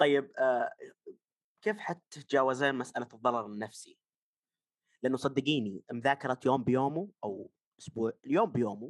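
Moderate-paced speech from a man at medium pitch, with lively intonation, big swings in loudness and long, frequent pauses, in a dry, close sound with no echo. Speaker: podcast co-host. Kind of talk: casual chat.

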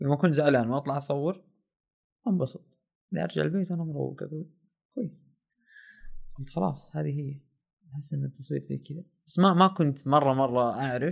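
Somewhat breathy and fairly high-pitched, a man speaks at a moderate pace with long, frequent pauses against a quiet background. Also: ordinary pitch variation. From Saudi Arabia, Asir region (mountain village). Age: 20s. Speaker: documentary filmmaker. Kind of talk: casual storytelling.

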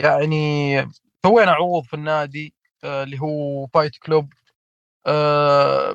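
A normal speaking voice from a man, fairly high in pitch, at a fairly slow pace with fairly even intonation and big swings in loudness. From Saudi Arabia, Hafar al-Batin. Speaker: pro wrestler and wrestling federation founder. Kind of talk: casual interview chat.

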